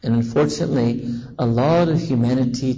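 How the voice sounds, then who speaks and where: A man's American accent and lively intonation amid noticeable background noise. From US, New York City. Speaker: Islamic preacher. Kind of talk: sermon. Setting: mosque gathering with audience, on a visit to South Africa.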